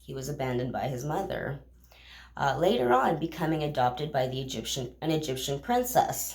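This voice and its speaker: Amid noticeable background noise and audible room echo, the speech comes at a fairly quick pace with fairly even intonation and big swings in loudness. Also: woman, very deep, low pitch for a woman. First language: not English. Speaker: bible reading vlogger. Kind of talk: casual retelling of scripture. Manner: halting, with fillers.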